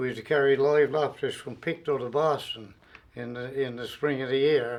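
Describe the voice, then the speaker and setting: A man with a Newfoundland accent speaks at a moderate pace and a fairly high pitch in a monotone, flat manner over noticeable background noise. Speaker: retired railway worker. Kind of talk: oral history interview.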